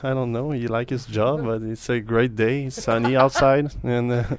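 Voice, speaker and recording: A man speaks with a French Canadian accent at a medium pitch. His pace is fairly slow, and his pitch varies in an ordinary way. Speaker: pianist and composer. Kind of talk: casual interview. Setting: hotel room.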